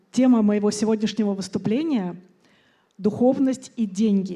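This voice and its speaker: A woman with a Russian accent speaks at a moderate pace in a fairly high, dark, mellow and somewhat breathy voice with ordinary pitch variation, on a very clean recording with a silent background. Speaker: conference speaker, entrepreneur. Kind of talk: conference talk.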